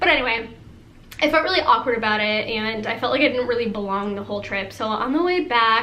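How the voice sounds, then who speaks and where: A woman at a very fast pace with lively intonation, over noticeable background noise. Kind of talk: casual storytime talk to camera. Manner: fast, rambling, valley-girl filler words.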